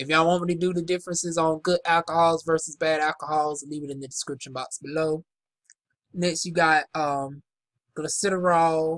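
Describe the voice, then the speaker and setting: A woman with a Southern US accent speaks at a moderate pace in fairly even intonation, her pitch very deep and low. The sound is dry and close with no echo. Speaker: aesthetician. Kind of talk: casual product review. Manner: casual, halting.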